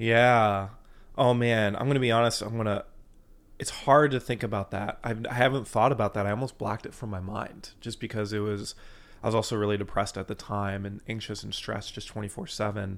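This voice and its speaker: A man with an ordinary speaking voice talks at a fairly quick pace, fairly low in pitch, with fairly even intonation. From US Midwest (Fort Wayne, Indiana). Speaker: bass trombonist and musician wellness coach. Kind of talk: interview. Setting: in person in Nashville.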